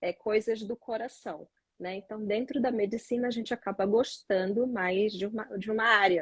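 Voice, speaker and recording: A woman with a Pará accent speaks in a somewhat breathy voice at a fairly high pitch with fairly even intonation, the sound dry and close with no echo. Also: moderate pace. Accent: Pará accent, noticeable. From Brazil, Pará. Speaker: neonatologist. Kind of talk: live stream interview.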